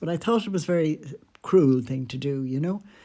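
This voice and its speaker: Lively in intonation, a woman with an Irish accent speaks at a moderate pace in a dark, mellow tone. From Ireland. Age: 80s+. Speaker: podcaster. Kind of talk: storytelling. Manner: conversational.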